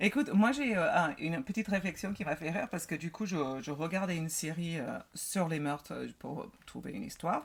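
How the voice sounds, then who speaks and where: A woman with an American accent, fairly low in pitch, at a fairly quick pace with lively intonation, over noticeable background noise. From United States. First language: English (speaking French). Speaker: podcast co-host. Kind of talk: casual chat.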